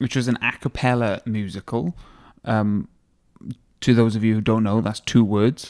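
A man with a Welsh accent speaks at medium pitch with fairly even intonation. He leaves long, frequent pauses. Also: moderate pace. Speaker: podcast co-host. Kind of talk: interview.

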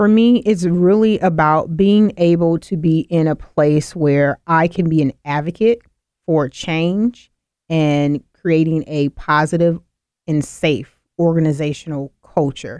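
Dry and close with no echo, a woman's fairly low, dark, mellow voice with an American accent moves at a fairly slow pace with ordinary pitch variation. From US South (Mississippi). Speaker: diversity and inclusion consultant. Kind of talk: radio interview.

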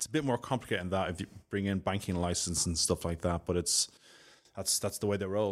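In a Dublin accent, a man with a very deep, low pitch talks very fast with ordinary pitch variation on a very clean recording with a silent background. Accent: Irish (Dublin). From Dublin, Ireland. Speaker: solutions architect, IT expert. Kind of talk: casual interview.

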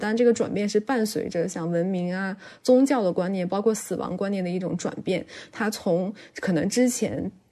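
Speaking at a fairly quick pace, a woman has a dark, mellow tone and ordinary pitch variation. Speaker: podcast co-host. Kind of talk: casual chat. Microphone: noticeable echo.

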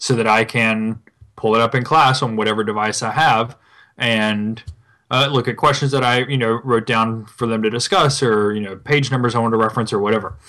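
On a very clean recording with a silent background, a man speaks in a bright, sharp tone at medium pitch, with fairly even intonation and a fairly quick pace. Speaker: podcast co-host. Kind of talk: casual chat.

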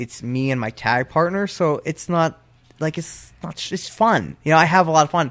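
A man with an American accent and an ordinary speaking voice talks at a moderate pace and a fairly high pitch with ordinary pitch variation, on a very clean recording with a silent background. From Pennsylvania. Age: 20s. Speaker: professional wrestler. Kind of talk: casual chat. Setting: studio.

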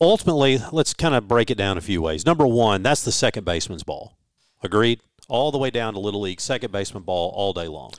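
A man with a Southern US accent talks at a very fast pace with lively intonation. The recording is very clean, with a silent background. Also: fairly low pitch for a man. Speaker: radio broadcaster. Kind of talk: sports commentary, analytical pitch-by-pitch breakdown.

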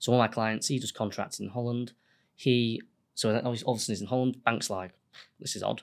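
With a Yorkshire accent, a man at a medium pitch talks very fast in a monotone, flat delivery, on a very clean recording with a silent background. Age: 30s. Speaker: accountant and business owner. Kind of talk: casual interview.

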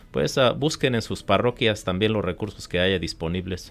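A man with an ordinary speaking voice talks at a fairly low pitch and moderate pace, with ordinary pitch variation. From Michoacán, Mexico. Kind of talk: radio interview.

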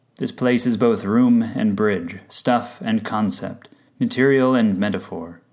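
A man with an ordinary speaking voice talks at a fairly slow pace, using medium pitch, ordinary pitch variation and very even loudness. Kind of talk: spoken word poem, reflective reading. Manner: measured, contemplative.

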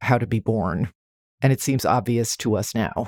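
A man with a normal speaking voice, medium pitch, moderate pace and ordinary pitch variation, in a very clean recording with a silent background and a dry, close sound with no echo. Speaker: podcast host. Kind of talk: casual comedic banter, movie review podcast.

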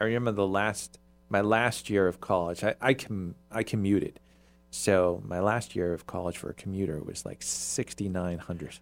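An ordinary speaking voice from a man, fairly low in pitch, with ordinary pitch variation and a moderate pace on a very clean recording with a silent background. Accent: American. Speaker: podcast host. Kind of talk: casual chat. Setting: studio.

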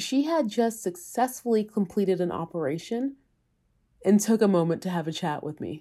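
Her dark, mellow tone sits at a medium pitch and moves through very wide pitch swings at a moderate pace, on a very clean recording with a silent background. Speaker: podcast host. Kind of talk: podcast narration and interview.

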